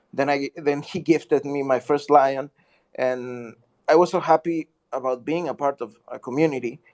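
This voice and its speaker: Speaking at a moderate pace, a man with a non-native accent has a fairly high voice and fairly even intonation. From Mexico. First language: Spanish. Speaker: artist and community member. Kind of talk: casual chat. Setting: online audio chat room. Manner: halting.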